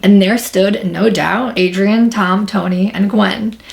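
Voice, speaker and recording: A woman speaks with a New York accent at a moderate pace. Her pitch is medium, with ordinary pitch variation. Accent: New York American English. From New York, Long Island. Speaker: YouTuber. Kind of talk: casual vlog storytelling.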